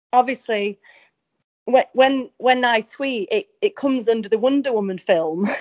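The speaker has an English accent. Pitch variation is ordinary. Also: woman. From England. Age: young. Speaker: country singer. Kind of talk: interview.

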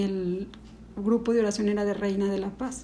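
Against audible room echo, a woman speaks at medium pitch with a dark, mellow tone, somewhat breathy and with fairly even intonation. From Mexico, Ciudad Juárez then León from age nine. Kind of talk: testimony. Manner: halting.

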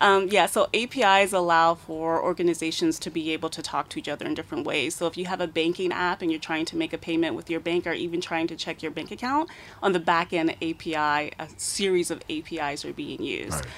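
A woman with a fairly low pitch and an ordinary speaking voice talks at a fairly quick pace with hardly any pauses. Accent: American. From United States. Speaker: cybersecurity expert. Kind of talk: radio interview. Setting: radio studio.

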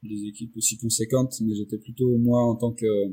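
Somewhat breathy and dark and mellow in tone, a man's medium-pitched voice moves at a moderate pace. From Réunion. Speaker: motion designer and director. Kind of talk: interview. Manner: hesitant, many fillers and repetitions.

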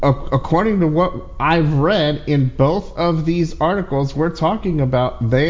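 Speaking at a fairly slow pace, a man with an unremarkable speaking voice sits fairly high in pitch and shows ordinary pitch variation. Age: 40s. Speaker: tech podcast host. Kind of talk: casual chat. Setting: online audio room.

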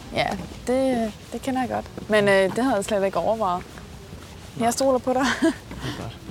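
Music plays behind a woman whose fairly high voice breaks into long, frequent pauses. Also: ordinary pitch variation, moderate pace. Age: 30s. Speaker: date interviewee. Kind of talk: casual chat.

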